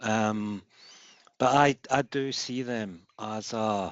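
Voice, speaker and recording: A man speaks with a Glaswegian accent. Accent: Glaswegian Scottish. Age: 50s. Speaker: football fan, foundation member. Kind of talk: meeting contribution. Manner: halting, repetitive.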